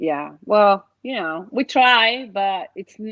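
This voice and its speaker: A woman speaks with a Mexican accent against a quiet background. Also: dry, close sound with no echo. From Mexico City. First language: Spanish. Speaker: interview guest. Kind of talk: casual interview.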